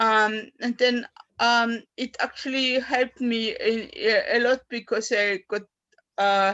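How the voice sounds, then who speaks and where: A woman with a German accent speaks at a very slow pace in a monotone, flat intonation. Her pitch is fairly high, her tone bright and sharp. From Austria. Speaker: poet. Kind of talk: poetry reading and personal talk. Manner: halting.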